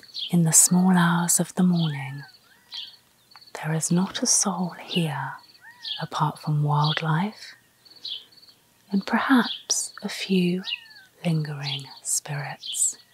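A woman's very slow speech with long, frequent pauses and ordinary pitch variation, in a dry sound with no echo amid noticeable background noise. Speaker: travel vlogger. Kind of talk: presenter piece to camera. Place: street.

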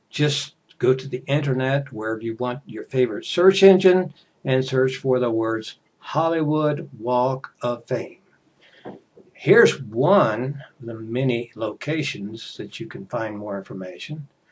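A man's somewhat breathy voice with an American accent, fairly slow pace, ordinary pitch variation, and big swings in loudness. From United States. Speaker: English teacher. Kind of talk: casual talk to camera for English learners. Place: home room. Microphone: headset.

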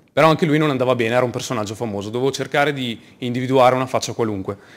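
A man's voice at a very fast pace, with ordinary pitch variation. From northern Italy, Verona; northern Italy. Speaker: project manager and UX developer; conference speaker. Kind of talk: conference talk. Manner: halting, frequent word repetitions. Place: hall.

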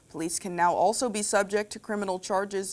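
At a fairly quick pace, a woman with an ordinary speaking voice talks at a medium pitch on a very clean recording with a silent background. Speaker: news co-anchor. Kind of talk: television newscast. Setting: TV studio. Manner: cheerful, bubbly in chat.

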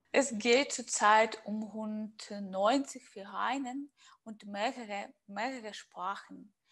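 A woman speaks very slowly, her intonation fairly even. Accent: Russian. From Russia. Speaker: interviewer. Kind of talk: interview.

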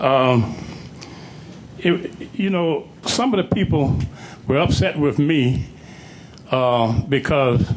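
A man at a medium pitch with ordinary pitch variation, amid noticeable background noise and audible room echo. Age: 70s. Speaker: public speaker at council meeting. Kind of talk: public comment speech. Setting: council chamber.

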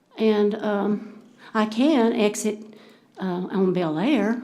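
In a room with audible echo, a woman with a Texan accent talks at a medium pitch with fairly even intonation. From Texas, Denton County. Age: 70s. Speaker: citizen speaking at council meeting. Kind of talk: public comment. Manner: halting.

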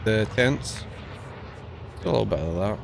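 A man is heard over light background noise. The sound is dry with no echo. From UK. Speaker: gaming streamer. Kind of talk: casual live stream chat while gaming. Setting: live stream with voice chat. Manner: animated.

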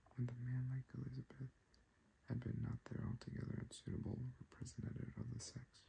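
The speaker is soft-spoken. There is light background noise. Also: man. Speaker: ASMR creator. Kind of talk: sleep story reading. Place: home room.

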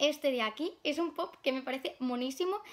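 A woman with a high pitch speaks at a moderate pace with ordinary pitch variation. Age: 20s. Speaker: YouTuber, collector; YouTuber. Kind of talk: casual vlog. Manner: hesitant with many fillers. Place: home room. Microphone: phone near.

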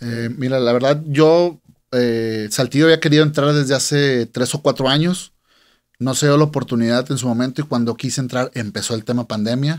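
Against a quiet background, a man of medium pitch talks at a moderate pace with fairly even intonation. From Monterrey, Nuevo León, Mexico. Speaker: music event promoter; guest. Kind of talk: casual interview. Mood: relaxed, conversational. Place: studio. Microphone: studio mic.

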